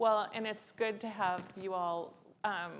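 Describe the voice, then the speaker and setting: A woman speaks with fairly even intonation. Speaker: panel moderator. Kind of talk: panel moderation. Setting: stage with audience. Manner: loud.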